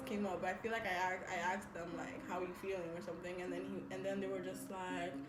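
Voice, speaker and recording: A woman talks amid noticeable background noise, and audible room echo follows her words. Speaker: beauty vlogger. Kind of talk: casual chat. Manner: loud; animated.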